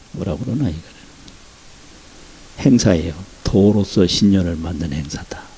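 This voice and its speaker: Over noticeable background noise, a man with a very deep, low voice talks at a moderate pace with lively intonation and long, frequent pauses. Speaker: Buddhist monk. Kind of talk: dharma talk.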